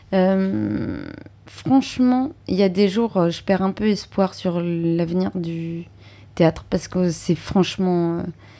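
Speaking very slowly with long, frequent pauses, a woman has a dark, mellow tone, a medium pitch and ordinary pitch variation. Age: 30s. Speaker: stage actress. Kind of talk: interview.

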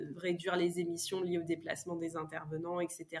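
This is a woman speaking. Her voice sits fairly low. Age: 30s. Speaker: corporate training manager. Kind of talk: podcast interview. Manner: hesitant, many fillers and repetitions.

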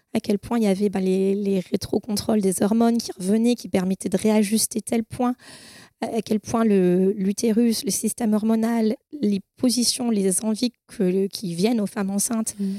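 A woman speaks at a fairly high pitch in a dark, mellow tone. Her intonation is fairly even and her pace fairly slow. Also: dry, close sound with no echo. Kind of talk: testimony.

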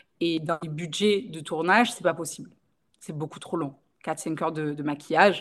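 A woman speaks at a moderate pace with fairly even intonation and big swings in loudness. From Marseille, southern France. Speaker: makeup artist and training school owner. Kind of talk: podcast interview.

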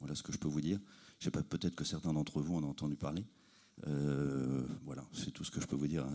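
Noticeable background noise sits behind a man's very deep, low-pitched voice. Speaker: audience member, brand representative. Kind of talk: audience question answer. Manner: hesitant, unprepared.

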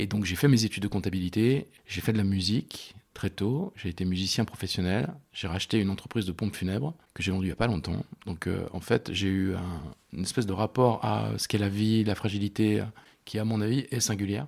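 A fairly low-pitched man at a fairly quick pace, with ordinary pitch variation, in a very clean recording with a silent background. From France, Loire (Rive-de-Gier, between Saint-Étienne and Lyon). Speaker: restaurant co-founder, entrepreneur. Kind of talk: interview. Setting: restaurant kitchen. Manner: halting, many repetitions.

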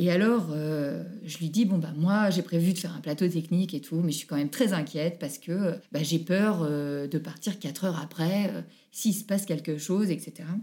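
A woman with a dark, mellow tone and fairly low pitch talks at a moderate pace with ordinary pitch variation. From France, Haute-Savoie (Annecy). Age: 30s. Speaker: mother telling her birth stories. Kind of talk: interview testimony.

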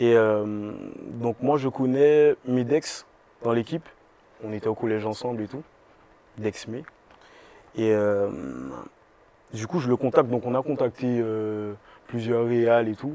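Speaking fairly slowly with long, frequent pauses, a man keeps his medium-pitched voice at a fairly even intonation. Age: 20s. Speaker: singer. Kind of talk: interview. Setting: bookstore cultural space.

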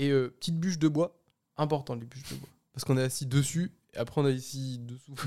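Fairly quick and fairly even, a man with an unremarkable speaking voice talks at medium pitch. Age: 20s. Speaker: podcast guest. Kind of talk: casual chat.

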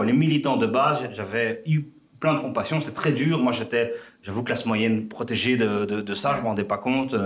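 Noticeable background noise sits under the audio. Over it, a man keeps a fairly quick pace. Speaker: entrepreneur. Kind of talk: casual chat. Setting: office studio. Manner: energetic, fast.

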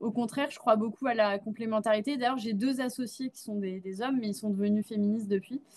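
A very fast, somewhat breathy delivery with hardly any pauses and fairly even intonation. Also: woman, fairly high pitch for a woman. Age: 20s. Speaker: Web3 consultancy CEO. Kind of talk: interview.

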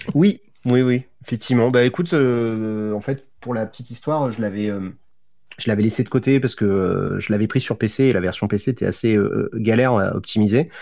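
On a very clean recording with a silent background, a man speaks at medium pitch in a dark, mellow tone. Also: ordinary pitch variation, moderate pace. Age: 30s. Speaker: youtuber and streamer. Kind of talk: casual chat.

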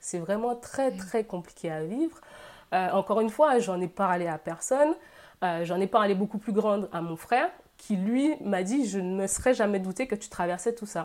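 Recorded very cleanly against a silent background, a woman with an unremarkable speaking voice talks at a moderate pace with lively intonation. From Guadeloupe. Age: 20s. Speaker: social media creator and engineer. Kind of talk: interview testimony.

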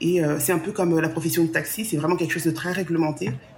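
A woman's fairly low voice carries audible echo from the room. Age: 40s. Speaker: travel planner. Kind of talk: interview.

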